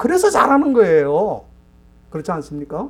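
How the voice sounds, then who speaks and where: A man is speaking. His pitch swings very widely. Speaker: pastor. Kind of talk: sermon. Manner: rhetorical, addressing congregation.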